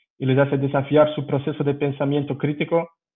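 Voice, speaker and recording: With a non-native accent, a man talks at a moderate pace. His pitch is fairly high. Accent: foreign accent in Spanish. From Belgium. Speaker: strength and rehabilitation coach. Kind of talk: lecture. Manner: halting, with fillers.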